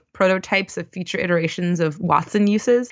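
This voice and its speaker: Speaking at a moderate pace with fairly even intonation, a woman with an American accent has an unremarkable speaking voice. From US East Coast, Baltimore. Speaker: UI engineer and conference speaker. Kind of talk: casual interview.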